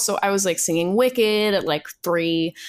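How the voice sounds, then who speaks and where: A woman's an ordinary speaking voice, medium-pitched with ordinary pitch variation, at a moderate pace with an American accent, on a very clean recording with a silent background. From New York City. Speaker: singer and voice actor. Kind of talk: interview.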